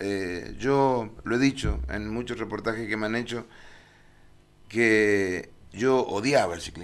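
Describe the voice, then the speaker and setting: A man speaks very slowly at a fairly low pitch, with ordinary pitch variation. Long, frequent pauses break up his speech. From Argentina. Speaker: cycling race announcer. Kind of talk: TV interview. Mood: relaxed, reminiscing. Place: studio. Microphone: podium.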